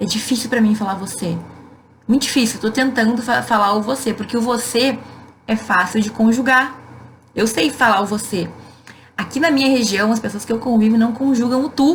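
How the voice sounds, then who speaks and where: A woman in a southern Brazilian accent, fairly high in pitch, with ordinary pitch variation, long and frequent pauses, and noticeable background noise. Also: moderate pace. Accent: gaúcho Brazilian Portuguese. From Rio Grande do Sul, southern Brazil. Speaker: law professor. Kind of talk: live Q&A stream. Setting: Instagram live. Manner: casual, conversational.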